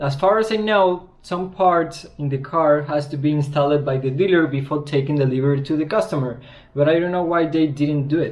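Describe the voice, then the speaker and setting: A man with a strong Spanish accent talks at a fairly quick clip in a fairly high voice for a man, with ordinary pitch variation, hardly any pauses and audible room echo. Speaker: car customizer and video creator. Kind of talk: casual vlog. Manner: halting.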